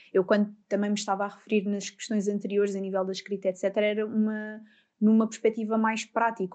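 Very fast speech from a woman with a European Portuguese accent, fairly high in pitch, dark and mellow in tone, over a quiet background. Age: 20s. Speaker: psychologist. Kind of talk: interview.

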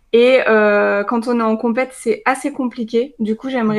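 Against a quiet background, a woman talks at a fairly slow pace in a fairly high pitch with monotone, flat intonation. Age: 20s. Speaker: nutrition coach and dietetics student. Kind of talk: casual interview chat.

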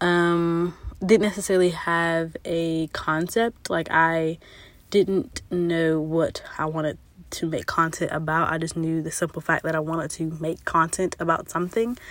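A woman speaks in a normal speaking voice, fairly low in pitch. Her pace is fairly slow and her intonation fairly even. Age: 20s. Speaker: podcast host. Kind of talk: casual monologue. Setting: home recording in a closet.

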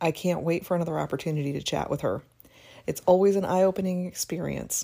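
On a very clean recording with a silent background, a woman with a dark, mellow tone and vocal fry talks at a fairly quick pace. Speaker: podcast host and business coach. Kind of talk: interview conversation with scripted intro.

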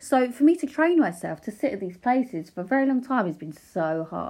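In an Essex accent, a woman talks at a moderate pace over a quiet background. Her pitch swings very widely. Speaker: paparazzi photographer and podcaster. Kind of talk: casual solo podcast monologue. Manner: unscripted, hesitant with fillers. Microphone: new microphone.

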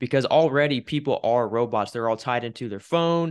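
A man with an American accent, medium pitch, ordinary pitch variation and a normal speaking voice. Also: quiet background. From Wichita, Kansas. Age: 20s. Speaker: podcast host. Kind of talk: casual interview chat.

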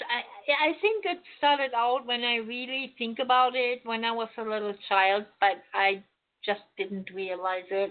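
With a German accent, a woman talks at a fairly slow pace. Her fairly high pitch moves with ordinary variation. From Germany, Berlin. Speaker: psychic medium. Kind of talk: radio interview.

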